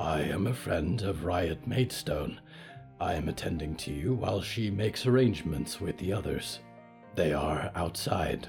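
A man's put-on character voice, very deep and low in pitch, at a moderate pace over clear background music. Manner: formal, gentle, solemn.

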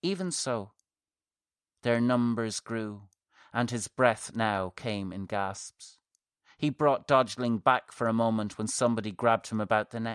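An ordinary speaking voice with ordinary pitch variation moves at a fairly slow pace. The sound is dry and close, with no echo. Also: man, medium pitch for a man. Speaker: horror fiction podcaster and author. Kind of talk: horror mythology narration, scripted story reading. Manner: tense, hushed then urgent, vivid, building dread and breathless action.

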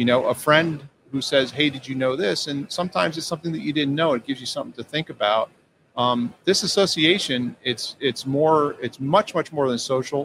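A man talks at a fairly quick pace in a normal speaking voice. His pitch is fairly high with ordinary variation. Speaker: company CEO and mechanical engineer. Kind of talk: interview. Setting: live trade show booth.

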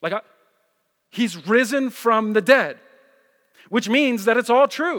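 An extremely high-pitched man with a New Jersey accent, an animated tone and ordinary pitch variation, at a fairly slow pace with long, frequent pauses. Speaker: pastor. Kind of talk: sermon. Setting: church.

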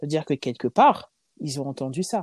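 The recording of a woman's dark, mellow voice sounds dry and close, with no echo. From France, Lyon. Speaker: charity founder and president. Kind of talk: casual interview.

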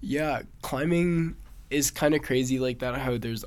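A man talks with an American accent at a moderate pace. He has an unremarkable speaking voice with ordinary pitch variation. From Massachusetts. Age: young. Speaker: competitive climber. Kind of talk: interview.

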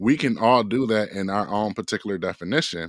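A man's unremarkable speaking voice at a fairly low pitch and moderate pace, on a very clean recording with a silent background and a dry, close sound with no echo. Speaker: running coach and author. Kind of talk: interview. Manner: casual.

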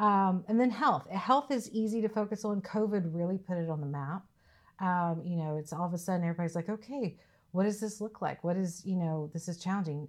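A woman with a Southern US accent, medium pitch and ordinary pitch variation, at a fairly quick pace, in a very clean recording with a silent background. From US South, Mississippi. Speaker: safety director, army veteran. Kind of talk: interview.

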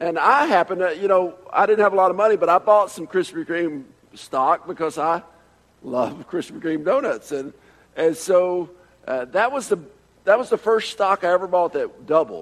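A high-pitched man's voice with an American accent, lively intonation and a moderate pace. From Atlanta, Georgia. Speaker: preacher. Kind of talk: sermon.

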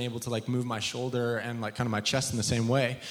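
A man's voice over noticeable background noise. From England. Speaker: ministry school leader. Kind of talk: church panel discussion. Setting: stage with audience. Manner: talkative.

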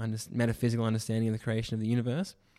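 This man has a dark, mellow tone at medium pitch. His intonation stays fairly even. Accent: Australian. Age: 20s. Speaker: church youth ministry worker. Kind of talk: casual chat.

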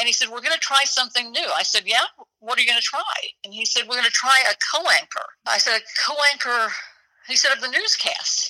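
With an American accent, a woman talks at a very fast pace in a high pitch with ordinary pitch variation. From Oklahoma. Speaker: retired TV news anchor. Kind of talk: interview.

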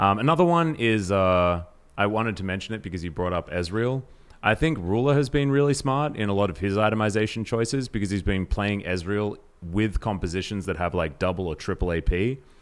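A man's fairly low, unremarkable speaking voice at a fairly quick pace with lively intonation. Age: 30s. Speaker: esports podcast host. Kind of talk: casual chat. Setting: at co-host's home.

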